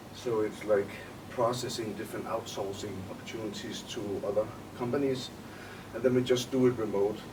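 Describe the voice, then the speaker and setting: A man with a Danish accent and medium pitch talks at a fairly quick pace, in monotone, flat intonation with long, frequent pauses. Noticeable background noise and audible room echo surround him. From Denmark. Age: 20s. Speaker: entrepreneur. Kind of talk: interview.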